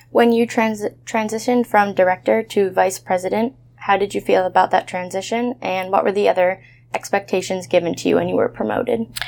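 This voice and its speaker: A woman with an American accent at a fairly quick pace, amid noticeable background noise. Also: medium pitch for a woman, ordinary pitch variation. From Massachusetts. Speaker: college student interviewer. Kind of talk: interview.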